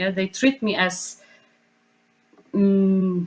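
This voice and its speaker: This woman speaks at a very slow pace. She has a non-native accent. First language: not English. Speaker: choreographer / dance artist. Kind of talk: panel discussion. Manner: halting, many fillers.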